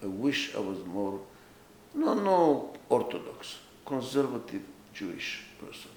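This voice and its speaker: Male speech carrying audible room echo. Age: 80s+. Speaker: author and management consultant. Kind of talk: autobiographical talk.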